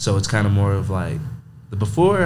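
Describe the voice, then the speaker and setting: Audible room echo follows a man with an American accent as he talks at a fairly quick pace. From Texas, Monahans. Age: 20s. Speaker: college football player, linebacker. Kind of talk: casual interview.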